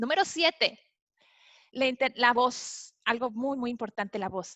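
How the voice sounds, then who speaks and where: The delivery has ordinary pitch variation at a fairly slow pace. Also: woman, high pitch for a woman. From Mexico, Monterrey. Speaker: author and customer experience speaker. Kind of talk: webinar talk. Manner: some halting restarts.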